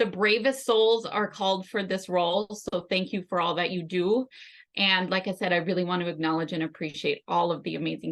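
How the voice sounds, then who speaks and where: A woman speaks with a Northern Minnesota accent at a fairly quick pace. Her pitch is medium with ordinary variation, and the background is quiet. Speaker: health and life coach for caregivers. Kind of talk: conference presentation.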